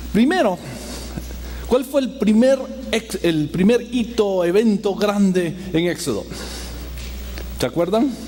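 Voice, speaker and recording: Music plays behind a man who speaks at a very slow pace. His pitch swings very widely. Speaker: pastor. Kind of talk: sermon. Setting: church. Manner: halting.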